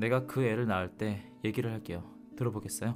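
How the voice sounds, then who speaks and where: A man's calm tone with ordinary pitch variation, music in the background. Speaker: audiobook narrator. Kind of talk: audiobook reading. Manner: calm, soft-spoken.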